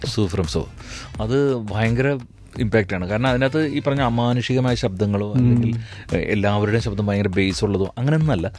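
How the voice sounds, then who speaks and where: Noticeable background noise runs under a man speaking at a medium pitch. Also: ordinary pitch variation. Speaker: dubbing artist; mimicry artist. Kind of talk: radio interview answer. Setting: radio studio.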